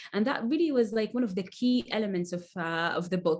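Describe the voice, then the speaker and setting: Her intonation lively, a woman with an Arabic accent speaks at a moderate pace. Her voice sits at medium pitch and is somewhat breathy. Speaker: author. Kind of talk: casual chat. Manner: halting, many fillers and repetitions.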